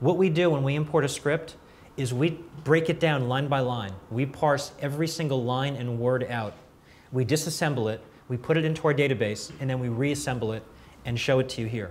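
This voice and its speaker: Amid audible room echo, a man with a fairly high pitch talks at a fairly quick pace, somewhat breathy, with ordinary pitch variation. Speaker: software company presenter. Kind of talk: product demo at industry event. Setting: conference room with audience. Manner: fast.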